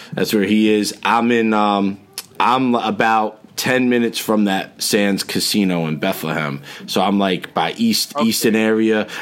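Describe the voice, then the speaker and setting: Speaking with a New Jersey accent, a man goes at a fairly slow pace with very even loudness and ordinary pitch variation, amid noticeable background noise. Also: fairly low pitch for a man. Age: 40s. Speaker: podcast host. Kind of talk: casual chat.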